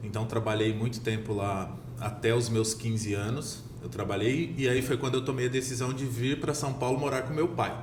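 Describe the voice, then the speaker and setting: Amid noticeable background noise and audible room echo, a man speaks at a moderate pace in a medium pitch with fairly even intonation. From Minas Gerais, Brazil. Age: 30s. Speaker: real estate sales director. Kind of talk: podcast interview.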